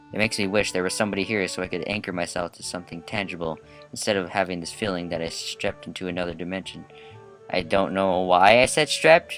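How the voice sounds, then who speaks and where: Music plays in the background as a man with a very deep, low pitch talks at a very fast pace in a fairly even intonation. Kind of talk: visual novel read-aloud let's play. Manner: casual, joking.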